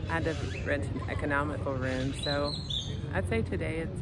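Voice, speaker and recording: A woman talks at a moderate pace in a dry sound with no echo, over loud background noise. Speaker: life coach and vlogger. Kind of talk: casual vlog monologue. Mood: frank, somewhat weary storytelling. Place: street. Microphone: phone near.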